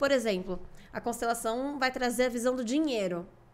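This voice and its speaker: Her high voice swings very widely in pitch as this woman speaks. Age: 20s. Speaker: family constellation therapist; podcast guest. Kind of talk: interview. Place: studio. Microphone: studio mic.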